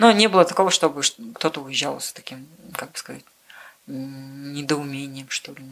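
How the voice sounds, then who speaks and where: Speaking at a moderate pace, a woman with a very deep, low pitch shows ordinary pitch variation and big swings in loudness, with long, frequent pauses. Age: 20s. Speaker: car mechanic, former journalist. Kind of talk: interview.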